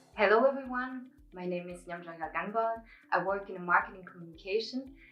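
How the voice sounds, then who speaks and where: Against audible room echo, a woman at a medium pitch talks at a fairly quick pace with ordinary pitch variation and big swings in loudness. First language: Mongolian. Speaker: student presenter. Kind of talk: project presentation.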